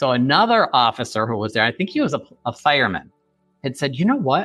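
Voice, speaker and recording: With music playing behind him, a man with an American accent talks at a fairly quick pace and a fairly high pitch. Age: 50s. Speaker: forensic psychologist and author. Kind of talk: interview testimony. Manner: fast; animated.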